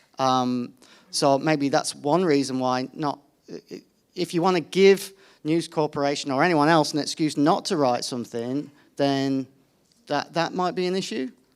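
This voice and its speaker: The speaker has a British accent, and the recording is very clean with a silent background. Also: moderate pace. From United Kingdom. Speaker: environment journalist. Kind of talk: panel discussion. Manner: hesitant, many fillers and restarts.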